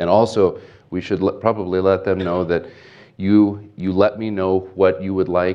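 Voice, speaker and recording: In a Pacific Northwest accent, a man speaks with a very deep, low pitch and monotone, flat intonation. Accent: general American (Pacific Northwest). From US Pacific Northwest (Portland, Oregon). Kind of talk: invited talk and Q&A at a Bible college chapel. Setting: college chapel with student audience.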